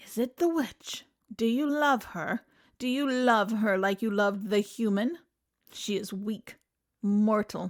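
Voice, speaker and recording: Putting on a character voice at a fairly high pitch, a woman speaks at a fairly slow pace with hissing on a very clean recording with a silent background. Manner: low, ominous, hissing.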